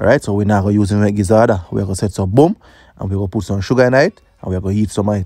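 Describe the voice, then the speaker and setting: Very fast and fairly low-pitched, a man's dark, mellow voice holds fairly even intonation, with a dry, close sound with no echo on a very clean recording with a silent background. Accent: Jamaican. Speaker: cooking youtuber. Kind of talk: cooking tutorial voiceover. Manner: casual.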